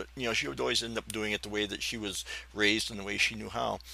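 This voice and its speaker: The speech runs at a very fast pace with vocal fry. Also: man. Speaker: podcaster. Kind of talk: personal storytelling podcast. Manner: rambling, hesitant.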